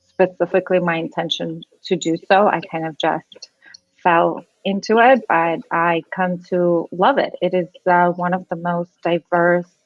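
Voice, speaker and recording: A woman speaks at a medium pitch. She has a slight non-native accent. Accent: slight foreign. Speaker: immigration lawyer. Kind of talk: podcast interview. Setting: live video podcast.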